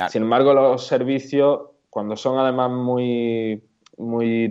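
A man's fairly slow, monotone, flat delivery. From Andalusia, Córdoba. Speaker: WooCommerce plugin developer and blogger. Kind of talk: casual interview.

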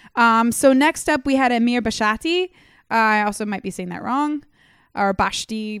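A woman speaks in a normal speaking voice, fairly high in pitch and at a moderate pace, on a very clean recording with a silent background. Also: dry, close sound with no echo. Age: 20s. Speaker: soccer podcast host. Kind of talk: casual chat. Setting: home living room studio.

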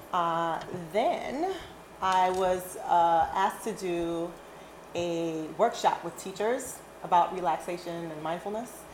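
A woman speaks at a medium pitch. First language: not English. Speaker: yoga and physical education teacher. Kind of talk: casual chat. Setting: recorded at a dinner table.

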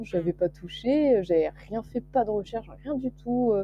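This woman's intonation rises and falls in a lively way. She keeps a moderate pace. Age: 20s. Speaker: young illustrator and student. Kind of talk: casual interview. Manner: hesitant, many fillers.

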